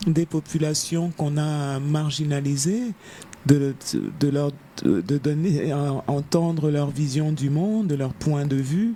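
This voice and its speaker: A woman's very deep, low pitch with ordinary pitch variation at a very slow pace. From Africa. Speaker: novelist. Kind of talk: interview. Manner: halting, many hesitations.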